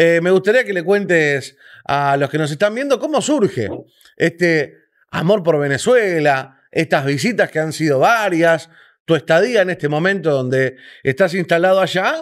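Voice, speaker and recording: A man in a Rioplatense accent, high-pitched, with lively intonation and a moderate pace, on a very clean recording over a silent background. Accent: Argentine Rioplatense Spanish. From Argentina. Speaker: interview host. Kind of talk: interview.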